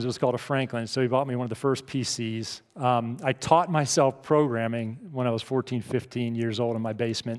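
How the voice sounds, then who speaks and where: Man at a medium pitch, fairly quick pace. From US, Pittsburgh, Pennsylvania. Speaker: keynote speaker. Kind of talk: keynote speech. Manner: animated.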